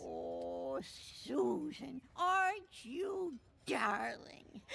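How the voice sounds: This cartoonish character voice moves at a very slow pace. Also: woman.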